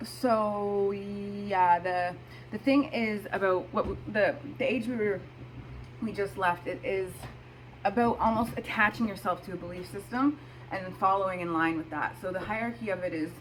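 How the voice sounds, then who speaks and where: With lively intonation, a woman talks at a moderate pace in a medium pitch. Noticeable background noise comes through. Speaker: astrology video host. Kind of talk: casual talk to camera.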